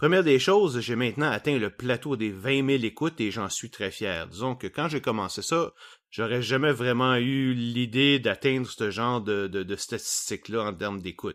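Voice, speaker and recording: A man with a Quebec accent speaks at a moderate pace in a medium pitch with ordinary pitch variation, on a very clean recording with a silent background. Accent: Québécois French. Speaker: science podcast host. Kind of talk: solo podcast monologue.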